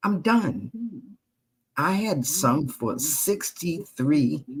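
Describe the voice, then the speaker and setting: Very slowly and with long, frequent pauses, a woman with an American accent speaks in a very deep, low, somewhat breathy voice whose pitch swings very widely. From US Northeast, Queens New York. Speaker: retired jazz and blues singer, author. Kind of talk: interview. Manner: animated.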